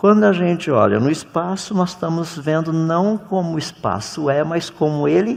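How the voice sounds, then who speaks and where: A man speaks at a fairly high pitch. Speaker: creationist lecturer. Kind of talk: lecture. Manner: animated.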